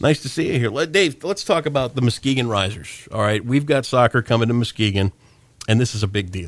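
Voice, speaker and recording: With a Midwestern American accent, a man of medium pitch speaks at a fairly quick pace with lively intonation. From Michigan, Sparta area. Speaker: radio host. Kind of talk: casual chat.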